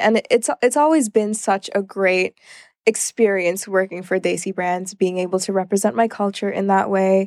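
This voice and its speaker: In an American accent, a woman speaks at a moderate pace with a normal speaking voice. Her pitch variation is ordinary, and the sound is dry and close with no echo. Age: 20s. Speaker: freelance model. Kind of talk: interview.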